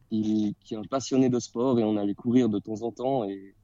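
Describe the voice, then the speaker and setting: A man with an unremarkable speaking voice talks at a moderate pace, medium in pitch, his intonation fairly even. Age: 30s. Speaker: primary school teacher and amateur runner. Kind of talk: casual interview. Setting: remote call from his classroom in the evening.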